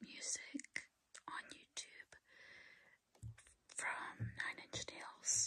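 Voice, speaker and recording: A woman talks in a whisper at a very slow pace. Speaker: ASMR creator and hobbyist keyboard learner. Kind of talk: ASMR ramble to camera. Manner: whispered, soft-spoken, slow. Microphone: phone near.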